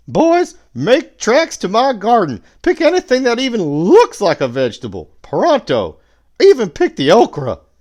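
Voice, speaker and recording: This is a put-on character voice, gruff and growling, at a fairly high pitch. It moves at a moderate pace over a quiet background. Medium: read story. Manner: gruff, growling.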